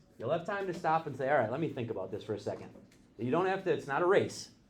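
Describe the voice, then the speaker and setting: Audible room echo surrounds a man whose fairly high pitch carries lively intonation. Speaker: math teacher. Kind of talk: classroom lecture. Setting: classroom with students. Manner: fast.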